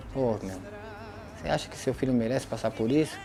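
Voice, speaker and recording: A man with a medium-pitched voice talks fairly quickly while music plays behind him. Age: 40s. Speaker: former prisoner. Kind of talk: testimony.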